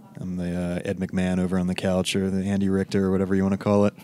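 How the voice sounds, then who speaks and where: Through noticeable background noise comes a man's very deep, low pitch. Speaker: audio producer. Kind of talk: casual chat. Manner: casual, hesitant.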